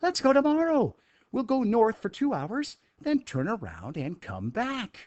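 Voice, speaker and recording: A man speaks at a moderate pace in a put-on character voice. His pitch is extremely high. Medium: read story. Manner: brisk, certain.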